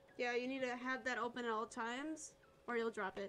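A woman speaks at a high pitch. Music plays in the background. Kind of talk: casual chat. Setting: online multiplayer game stream.

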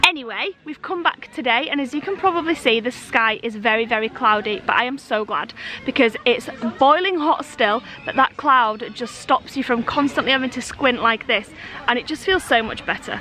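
A woman speaks in a raised, projected voice at a moderate pace. Faint music plays in the background, and the sound is dry with no echo. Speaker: family vlogger. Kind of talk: casual vlog chat. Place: open country. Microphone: phone near.

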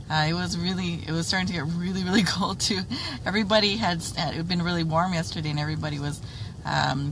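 Very fast speech comes from a woman with ordinary pitch variation. The sound is dry with no echo, though background noise is noticeable. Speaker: livestream facilitator. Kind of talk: casual chat. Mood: grateful, somewhat concerned. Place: car. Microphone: phone near.

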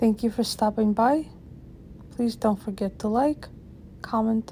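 A woman speaks fairly slowly in a calm, somewhat breathy voice at a fairly high pitch. Her intonation is fairly even, with long, frequent pauses. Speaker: channel host reading a poem. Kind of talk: poem reading aloud, ASMR-style. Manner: slow, soft-spoken, gentle; measured, calm, with rhythmic pacing.

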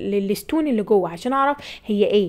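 In an animated tone, a woman speaks fairly quickly at a fairly high pitch with ordinary pitch variation. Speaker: nursing tutor. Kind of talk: lecture. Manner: raises voice at times.

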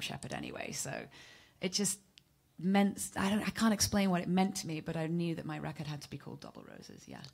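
A woman speaks very fast, somewhat breathy. Her pitch varies in an ordinary way. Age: 30s. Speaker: singer-songwriter; guest. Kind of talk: casual interview. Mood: warm, reflective. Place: studio. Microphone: handheld.

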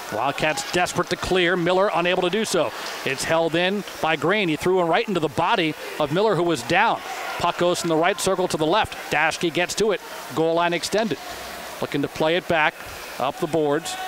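A man talks rather quickly in a high voice, with clear background noise behind him. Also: very even loudness. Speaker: radio play-by-play announcer. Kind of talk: live sports play-by-play commentary. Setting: arena broadcast booth. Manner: rapid-fire, excited on goals.

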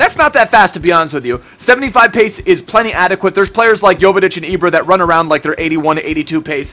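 A man speaks in a raised, projected voice with a bright, sharp tone and hardly any pauses. His intonation is lively. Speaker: gaming youtuber. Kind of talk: casual gaming commentary. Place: home room.

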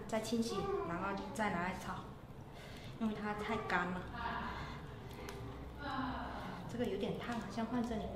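A woman talks at a moderate pace, her pitch varying in an ordinary way, with noticeable background noise and audible room echo. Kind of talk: casual cooking vlog narration. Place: kitchen.

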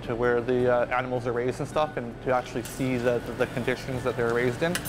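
A man speaks fairly quickly while music plays behind him. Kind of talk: interview answer. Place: cafe.

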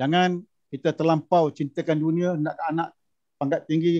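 At a fairly slow pace and high pitch, a man speaks in a monotone, flat intonation against a quiet background. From Malaysia, Negeri Sembilan; Malaysia. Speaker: former imam and judge; speaker, panelist. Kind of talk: panel discussion. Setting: video call. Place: office. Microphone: video call.

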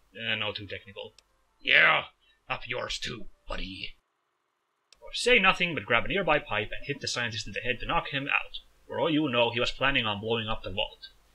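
A man speaks at a fairly quick pace, broken by long, frequent pauses. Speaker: gaming video creator. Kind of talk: let's play commentary. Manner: animated.

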